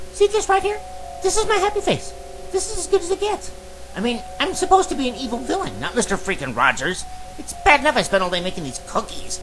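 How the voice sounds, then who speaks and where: A man performs a cartoonish character voice at a very fast pace. Clear music plays in the background. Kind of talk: cartoon parody voices. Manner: theatrical, irritable.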